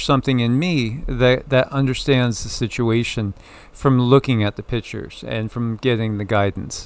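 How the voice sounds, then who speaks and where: This man has an ordinary speaking voice with a medium pitch. He talks at a moderate pace. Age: 60s. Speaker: spiritual channel host, tarot reader. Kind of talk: casual spiritual discussion.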